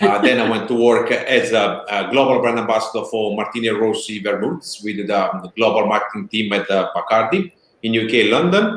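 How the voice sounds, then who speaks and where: A man talks at a fairly quick pace with hardly any pauses. His pitch sits in the medium range. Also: ordinary pitch variation. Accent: strong Italian. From Italy. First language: Italian. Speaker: spirits brand founder. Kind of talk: interview.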